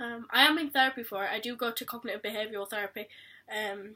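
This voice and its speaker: A woman with a fairly high voice speaks at a fairly quick pace in a bright, sharp tone. The recording is very clean, with a silent background. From Yorkshire, England. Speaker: vlogger. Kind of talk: personal vlog.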